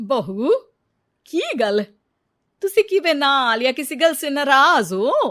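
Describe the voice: In a very clean recording with a silent background, a woman uses a put-on character voice, high-pitched and fairly bright, speaking slowly with big pitch swings.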